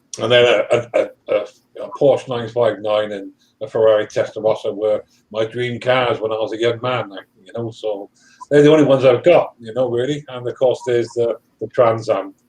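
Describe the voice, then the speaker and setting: A man's loudness swings widely as he talks at a fairly quick pace. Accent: British. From UK. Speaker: live stream participant. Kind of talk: casual chat.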